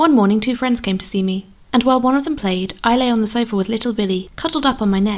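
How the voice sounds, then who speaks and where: Soft-spoken and very fast, a woman talks at a fairly high pitch with ordinary pitch variation. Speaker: audiobook narrator. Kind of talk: audiobook reading.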